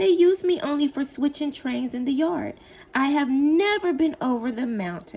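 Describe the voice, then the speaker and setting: A woman performs a put-on character voice. It sits high in pitch and moves at a moderate pace. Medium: read story. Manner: kind, earnest.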